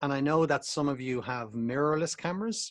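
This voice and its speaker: A man at a medium pitch with an Irish accent, at a moderate pace. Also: dry, close sound with no echo. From Ireland. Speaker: photography instructor. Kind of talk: online presentation. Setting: video call. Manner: casual, hesitant with fillers.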